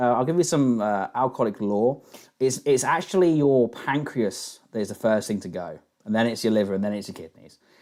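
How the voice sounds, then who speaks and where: A man in a London accent at a fairly quick pace. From England, London. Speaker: live stream host taking callers. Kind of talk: casual call-in chat.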